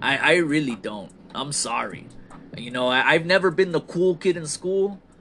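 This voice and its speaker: Over music in the background, a man with a fairly high pitch talks at a moderate pace, his loudness swinging widely. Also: lively intonation. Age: 30s. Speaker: wrestling podcast host. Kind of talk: solo podcast monologue reviewing wrestling shows. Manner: casual, self-described halting conversational skills.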